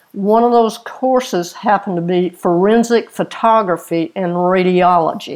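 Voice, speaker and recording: A woman with a Lowcountry South Carolina accent, medium pitch, ordinary pitch variation, a moderate pace, and hardly any pauses. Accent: US Southern (South Carolina Lowcountry). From South Carolina, Orangeburg area. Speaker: retired crime scene investigator and author. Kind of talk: interview.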